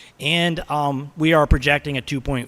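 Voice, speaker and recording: A man speaks at a moderate pace. His tone is bright and sharp. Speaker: school district finance official. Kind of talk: budget presentation at board meeting. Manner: halting, many fillers.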